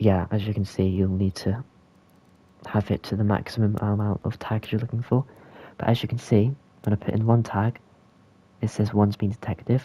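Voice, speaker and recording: The voice has a dark, mellow tone, is somewhat breathy and monotone with flat intonation, and moves at a fairly quick pace broken by long, frequent pauses, in a dry, close sound with no echo. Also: man, fairly low pitch for a man. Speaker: game tutorial creator. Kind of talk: software tutorial narration. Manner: casual, hesitant.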